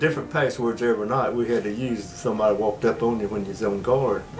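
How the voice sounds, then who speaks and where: Music in the background beneath a man speaking with ordinary pitch variation. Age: 80s+. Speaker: war veteran. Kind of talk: interview answer.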